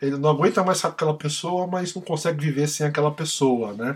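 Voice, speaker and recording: A man talks with fairly high pitch and ordinary pitch variation. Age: 40s. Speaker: music podcast host. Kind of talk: casual chat.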